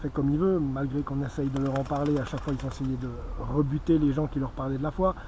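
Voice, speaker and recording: Fairly fast talk, fairly even in intonation, against noticeable background noise. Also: man. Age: 40s. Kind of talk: evangelistic testimony. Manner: hesitant, with fillers and repetitions.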